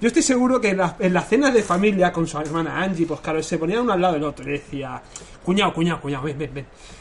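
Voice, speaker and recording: Over noticeable background noise, a man talks at a very fast pace. His pitch is high and his intonation lively. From Catalonia. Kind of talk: casual chat.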